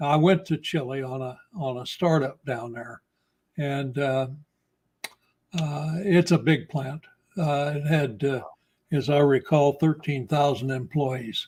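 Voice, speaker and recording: A man with a fairly high, somewhat breathy voice talks at a very slow pace, his intonation fairly even and his speech broken by long, frequent pauses. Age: 80s+. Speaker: retired electrical contractor. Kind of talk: interview conversation. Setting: live video stream. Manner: halting.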